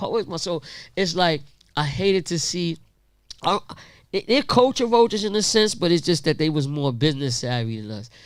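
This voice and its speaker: On a very clean recording with a silent background, a man's high voice makes very wide pitch swings. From Queensbridge, Queens, New York. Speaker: hip-hop tour organizer. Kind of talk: panel Q&A at live event.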